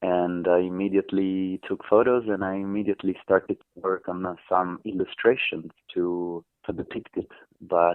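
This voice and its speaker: A man with an Italian accent speaks at a moderate pace in a very deep, low voice. His intonation is monotone and flat, yet his loudness swings widely. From southern Italy, Amalfi Coast. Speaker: artist. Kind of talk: radio interview.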